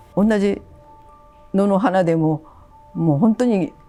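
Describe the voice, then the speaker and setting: A woman at a medium pitch with ordinary pitch variation, music in the background. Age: 80s+. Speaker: traditional washi paper artisan. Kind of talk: interview answer.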